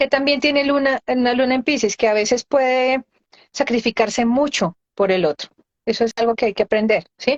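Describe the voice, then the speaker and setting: A woman speaks at a moderate pace in a high pitch with ordinary pitch variation. Her loudness stays very even. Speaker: integrative physician and medical astrologer. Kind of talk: live interview explanation.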